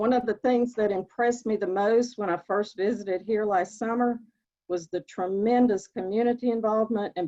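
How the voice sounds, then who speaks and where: Dark and mellow in tone, a woman's voice comes through with a dry, close sound and no echo. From Northeast Tennessee, Appalachian mountains. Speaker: oncology nurse practitioner. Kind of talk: prepared remarks at a virtual event. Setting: online virtual event.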